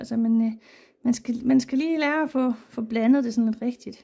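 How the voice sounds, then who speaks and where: A woman speaks at a very fast pace in a high voice with a dark, mellow tone. Her intonation is monotone and flat. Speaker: watercolour artist and teacher. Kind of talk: painting tutorial. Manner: casual, hesitant with fillers.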